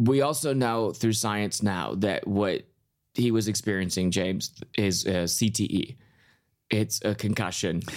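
A man's plain, everyday voice, fairly low in pitch with an American accent, fairly slow, with ordinary pitch variation, on a very clean recording with a silent background. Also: very even loudness. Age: 30s. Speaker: comedian. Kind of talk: casual chat.

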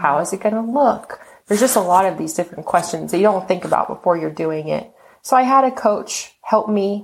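With an American accent, a woman speaks at a medium pitch and a fairly quick pace in an unremarkable speaking voice. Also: ordinary pitch variation. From Texas. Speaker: model and author, former event planner. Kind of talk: casual interview chat.

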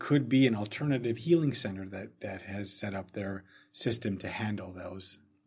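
The voice is somewhat breathy, with ordinary pitch variation. Its loudness swings widely. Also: man, fairly low pitch for a man. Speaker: herbalism podcast co-host. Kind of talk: casual chat. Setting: studio. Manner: fast when excited.

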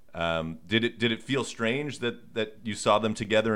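A man with a normal speaking voice, fairly low pitch, ordinary pitch variation and a fairly quick pace. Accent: General American. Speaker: sports podcast host. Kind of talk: casual interview.

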